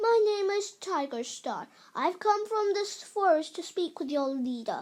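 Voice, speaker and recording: A woman uses a put-on character voice, growling at an extremely high pitch with very wide pitch swings. She speaks at a moderate pace on a very clean recording with a silent background. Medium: read story. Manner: growling, haughty.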